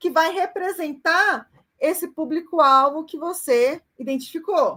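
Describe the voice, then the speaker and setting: A woman speaks with an extremely high pitch and ordinary pitch variation. Her voice is raised and projected, with a bright, sharp tone. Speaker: university lecturer. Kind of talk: online lecture.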